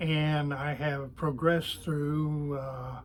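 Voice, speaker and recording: A man with an American accent at a very slow pace, fairly high in pitch, with fairly even intonation and audible room echo. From Oklahoma City area, US. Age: 80s+. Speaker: retiree and toy glider maker. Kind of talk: interview. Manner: halting, many fillers.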